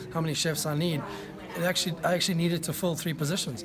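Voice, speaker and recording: Speaking very fast in a South African accent, a man with a high pitch keeps his intonation fairly even, with audible room echo and noticeable background noise. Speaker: executive chef. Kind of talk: interview. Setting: food tasting event.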